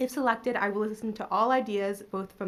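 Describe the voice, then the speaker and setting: Speaking at a fairly quick pace with an American accent, the woman has a medium pitch and an ordinary speaking voice. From Maryland, US. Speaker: council seat candidate, research economist. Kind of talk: prepared opening statement at public interview. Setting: city hall public panel.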